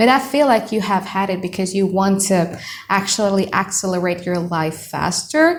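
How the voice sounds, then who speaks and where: A woman with an Indonesian accent speaks at a medium pitch with lively intonation, and there is noticeable background noise. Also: moderate pace. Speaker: tarot reader. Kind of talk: tarot reading monologue. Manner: casual, conversational; mutters in native language at times.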